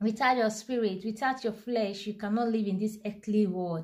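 At a moderate pace, a woman speaks in a somewhat breathy voice with fairly even intonation over a quiet background. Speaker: devotional reader. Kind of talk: sermon-like reading and commentary. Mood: fervent, earnest. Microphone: phone near.

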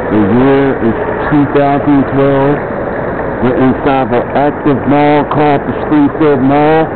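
A man talks at a fairly slow pace with noticeable background noise. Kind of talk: casual walking tour commentary. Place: shop. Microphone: phone near.

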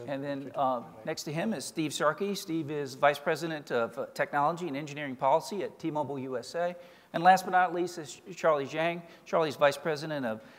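Here a man talks at a fairly quick pace. His pitch variation is ordinary. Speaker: panel moderator. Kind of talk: introductory remarks. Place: stage. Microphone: podium.

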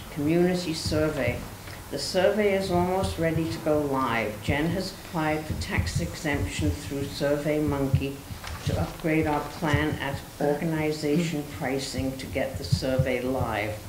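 Noticeable background noise runs through speech delivered at a moderate pace. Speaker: board member reading the report. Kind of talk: reading meeting report aloud. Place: meeting room. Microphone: podium.

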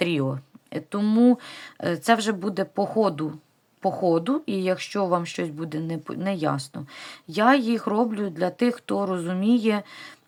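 With long, frequent pauses, a woman speaks very slowly at medium pitch and lively intonation on a very clean recording with a silent background. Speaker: knitting vlogger. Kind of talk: craft tutorial vlog.

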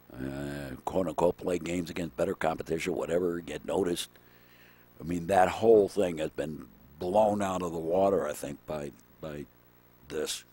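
A man with a very deep, low voice and a dark, mellow tone talks at a moderate pace with fairly even intonation, the sound dry with no echo. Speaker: baseball play-by-play announcer. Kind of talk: live sports commentary, play-by-play. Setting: outdoors at ballfield. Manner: chatty, with asides and trivia between pitches. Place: stadium.

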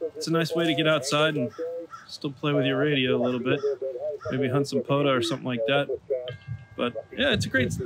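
A man at a moderate pace, with loud noise in the background. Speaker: amateur radio hobbyist. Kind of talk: casual vlog chat. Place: garden. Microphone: phone near.

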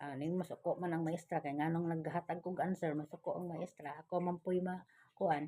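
A woman's fairly low, dark and mellow voice, monotone with flat intonation, at a fairly quick pace. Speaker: vlogger. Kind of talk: casual vlog talk to viewers. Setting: indoors at home.

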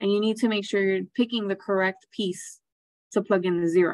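A woman's fairly even intonation over a quiet background. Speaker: math teacher. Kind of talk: lecture. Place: home room. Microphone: webcam.

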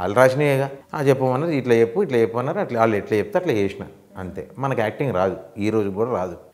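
A man speaks in a Hyderabadi accent with lively intonation. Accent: Hyderabadi Telangana Telugu with Urdu words. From Hyderabad, Telangana, India. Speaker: film comedian. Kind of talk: casual interview chat. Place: studio.

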